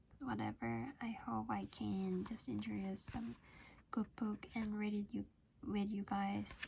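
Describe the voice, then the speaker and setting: The speaker mumbles. The pace is very slow. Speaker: channel host reading a book aloud. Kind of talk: reading aloud with casual comments. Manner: mumbling, by own account; hesitant, with fillers.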